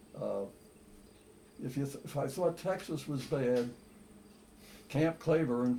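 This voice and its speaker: A man with an American accent speaks at a fairly slow pace, sounding somewhat breathy. His pitch is fairly high, with ordinary pitch variation. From Philadelphia, Pennsylvania. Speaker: war veteran. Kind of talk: interview answer.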